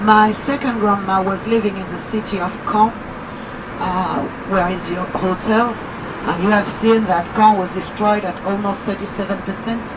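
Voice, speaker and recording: A woman's flat, monotone delivery with audible room echo and noticeable background noise. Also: medium pitch for a woman, moderate pace. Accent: French. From France, Normandy. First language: French. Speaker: tour guide. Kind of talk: guided tour commentary.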